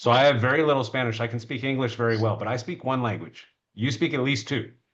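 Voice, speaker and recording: Speaking very fast with an American accent, a man keeps a medium pitch and ordinary pitch variation. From United States. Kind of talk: casual chat.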